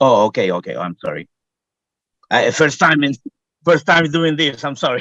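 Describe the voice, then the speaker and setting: Speaking at a moderate pace with a non-native accent, a man leaves long, frequent pauses, and the sound is dry and close with no echo. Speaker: homeowner applicant at zoning board. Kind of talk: testimony at public hearing. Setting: video call from work. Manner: halting, hesitant.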